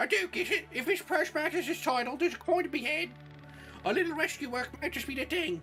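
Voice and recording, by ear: Clear music plays behind a put-on character voice that rattles along at a very fast pace in a high pitch.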